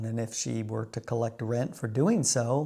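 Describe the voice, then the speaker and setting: A man with an American accent, medium pitch, a dark, mellow tone and fairly even intonation in a very clean recording with a silent background. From United States. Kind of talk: casual talk to camera.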